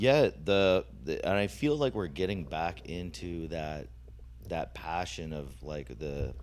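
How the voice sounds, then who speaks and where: At a fairly slow pace, a man speaks with lively intonation, vocal fry, and a very deep, low pitch. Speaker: podcast host. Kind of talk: casual chat. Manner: halting.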